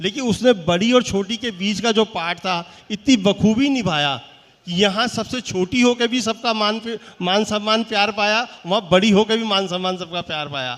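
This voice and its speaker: High male pitch with ordinary pitch variation. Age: 60s. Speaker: businessman, award honoree. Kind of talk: stage interview.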